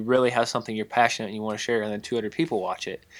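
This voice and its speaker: In an Ozarks accent, a man speaks at medium pitch on a very clean recording with a silent background. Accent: Ozarks US southern-midland. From Missouri/Arkansas Ozarks. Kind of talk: casual chat.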